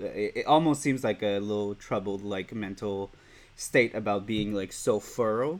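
With a Quebec accent, a man speaks at a moderate pace and a fairly low pitch in a very clean recording with a silent background. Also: ordinary pitch variation. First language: French. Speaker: podcast host. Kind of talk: interview. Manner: halting, many fillers.

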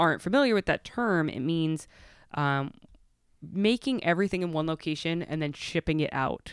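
A woman with an American accent speaks at a very deep, low pitch with ordinary pitch variation. The sound is dry and close, with no echo. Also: very clean recording, silent background. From Connecticut, Stamford. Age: 30s. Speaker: bakery owner and pastry chef. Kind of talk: casual interview chat.

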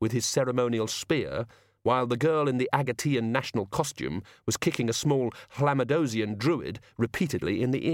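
A natural reading voice with ordinary pitch variation.

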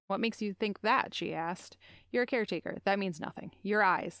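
A woman's plain, everyday voice at a medium pitch, with ordinary pitch variation and a fairly quick pace. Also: very clean recording, silent background. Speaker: podcast host. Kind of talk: casual chat.

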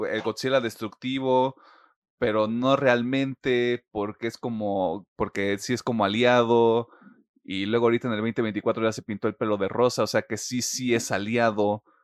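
In a normal speaking voice, a man talks at a fairly slow pace and a fairly low pitch with ordinary pitch variation, the sound dry and close with no echo over a quiet background. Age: 20s. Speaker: podcast host. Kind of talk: news reading; casual chat.

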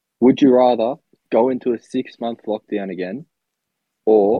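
A man speaks with an Australian accent. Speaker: podcast co-host. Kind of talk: casual chat.

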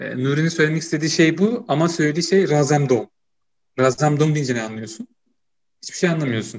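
A man's fairly high-pitched, fairly quick delivery with lively intonation, a normal speaking voice. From Turkey, Ankara (Çubuk). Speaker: podcast host, university student. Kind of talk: casual chat.

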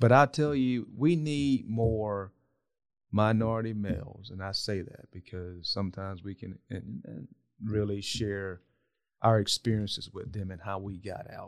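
A man with a fairly low voice speaks at a fairly slow pace in a Southern US accent, with ordinary pitch variation and big swings in loudness, on a very clean recording with a silent background. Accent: Southern US (Georgia). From US South, south Georgia. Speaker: non-profit executive. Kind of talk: interview conversation. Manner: halting, frequent repetitions.

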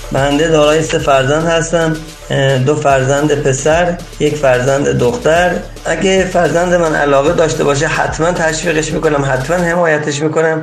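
Over music in the background and with audible room echo, a man with a fairly high pitch speaks in a monotone, flat intonation at a moderate pace and very even loudness. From Iran, Chaharmahal and Bakhtiari. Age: 40s. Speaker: dump truck driver. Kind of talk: interview. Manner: formal.

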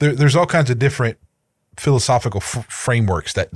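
A man speaks at a fairly quick pace and medium pitch, somewhat breathy. The sound is dry and close with no echo, on a very clean recording with a silent background. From rural area, not a city. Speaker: podcast co-host. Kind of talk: casual chat.

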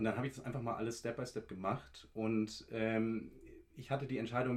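A man speaks at a moderate pace with medium pitch. He has an unremarkable speaking voice. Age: 20s. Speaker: law student. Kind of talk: casual interview.

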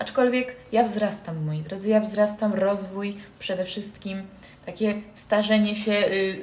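In a room with audible echo, a woman speaks at a medium pitch and a fairly slow pace, her intonation fairly even. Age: young. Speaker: podcast host. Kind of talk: casual chat. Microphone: poor built-in mic, low quality.

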